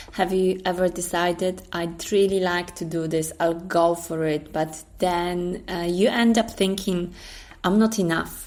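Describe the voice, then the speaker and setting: A woman with a Polish accent talks at a fairly slow pace with a fairly low pitch. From Poland. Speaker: storyteller and writer. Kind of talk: storytelling narration; casual intro. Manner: hesitant, many fillers.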